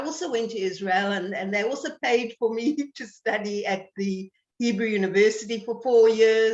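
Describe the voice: The room adds an audible echo. She talks at a moderate pace.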